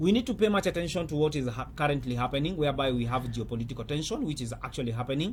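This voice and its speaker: At a very fast pace, a man talks in a fairly high, somewhat breathy voice with very wide pitch swings. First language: not English. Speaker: currency trader and trading coach. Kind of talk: market commentary video. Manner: halting, with many fillers.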